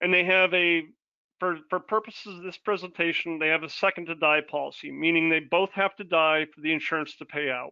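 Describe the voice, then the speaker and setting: A man's high-pitched voice at a fairly quick pace, with fairly even intonation and big swings in loudness. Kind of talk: webinar presentation. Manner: fast.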